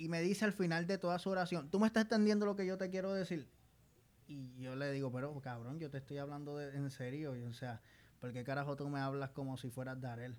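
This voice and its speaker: This man's voice sits at a fairly high pitch and carries lively intonation. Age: 20s. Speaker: podcast co-host. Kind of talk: casual chat. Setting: studio.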